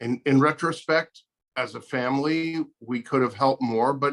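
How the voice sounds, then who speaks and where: In an unremarkable speaking voice, a man speaks at a medium pitch and moderate pace with fairly even intonation and a dry, close sound with no echo. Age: 60s. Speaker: guest sharing diabetes experience. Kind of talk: interview.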